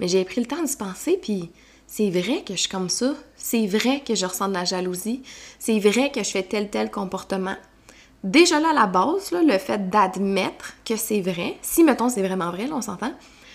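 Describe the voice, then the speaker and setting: A woman speaks in a Quebec accent at a medium pitch. Her tone is animated and her intonation lively, though her pace is fairly slow. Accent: Québécois French. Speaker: personal development coach. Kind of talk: solo podcast monologue.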